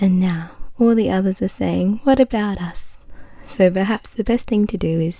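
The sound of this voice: Lively intonation runs through an unforced reading voice.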